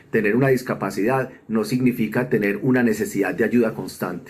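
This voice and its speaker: A man speaks at medium pitch with ordinary pitch variation. He has a normal speaking voice and a fairly quick pace. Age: 50s. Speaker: accessibility consultant, wheelchair user. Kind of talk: recorded video testimony.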